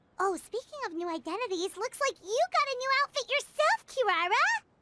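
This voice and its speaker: A woman in a put-on character voice talks at a fairly quick pace, squeaky and at an extremely high pitch, with very wide pitch swings. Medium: video game. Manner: polite.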